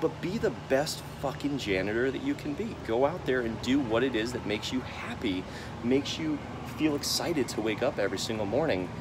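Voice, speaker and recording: Against noticeable background noise, a man talks at a fairly quick pace, his medium pitch carried by lively intonation. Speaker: vlogger. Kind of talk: casual vlog monologue. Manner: halting, stammering; animated.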